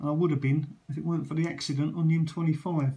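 A man speaks with a dark, mellow tone at a fairly high pitch. His pitch moves little, and room echo is audible.

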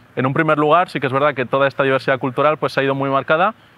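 A man's voice, dry with no echo. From Valencia, Spain; Spain. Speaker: doctoral student in education. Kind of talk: testimony. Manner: halting, with frequent repetitions and fillers. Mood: calm, reflective. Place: garden.

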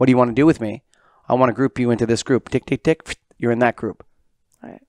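A dry sound with no echo over a quiet background. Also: man. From Canada. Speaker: podcast host. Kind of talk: casual interview. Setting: guest's office. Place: meeting room. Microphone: headset.

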